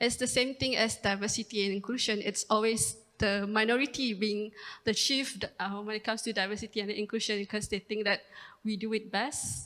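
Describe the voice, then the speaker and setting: A woman's fairly high voice, bright and sharp, at a fairly quick pace with flat, monotone intonation. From East Malaysia, Sarawak. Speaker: research company director. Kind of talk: panel discussion.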